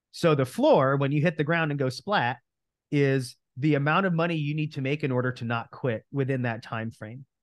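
With an American accent and an unremarkable speaking voice, the speaker talks at a moderate pace with ordinary pitch variation. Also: man, fairly high pitch for a man. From New Jersey. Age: 30s. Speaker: real estate coach. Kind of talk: interview.

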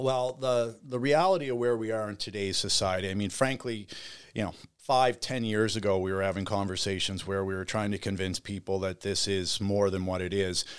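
On a very clean recording with a silent background, a man with a Canadian Maritime accent speaks fairly quickly at a fairly low pitch. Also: ordinary pitch variation. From Nova Scotia, Canada (Bridgewater). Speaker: cannabis industry entrepreneur. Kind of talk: casual interview. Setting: studio.

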